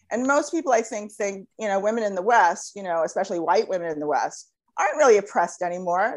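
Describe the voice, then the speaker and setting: Against a quiet background, a woman with an American accent talks at a very fast pace with very wide pitch swings. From United States. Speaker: blogger and activist. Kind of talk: interview. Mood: earnest, somewhat indignant. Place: home room. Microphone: earbuds.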